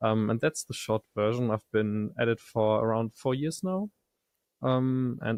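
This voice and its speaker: Recorded dry and close with no echo, a man at a medium pitch talks at a moderate pace in an ordinary speaking voice. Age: 20s. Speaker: audio software startup co-founder. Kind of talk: podcast interview.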